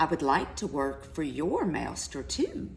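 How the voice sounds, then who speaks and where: Someone speaks in a put-on character voice at a fairly slow pace. Background noise is clearly audible. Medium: read story.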